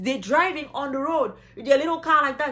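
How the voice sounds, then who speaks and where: A woman speaks in a high, bright and sharp-toned voice. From Cameroon. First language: French. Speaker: travel vlogger. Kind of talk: casual vlog talk. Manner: animated.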